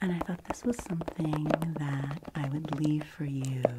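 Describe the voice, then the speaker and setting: Amid noticeable background noise, a woman speaks at a very deep, low pitch. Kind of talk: ASMR roleplay. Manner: soft-spoken; whispered in parts.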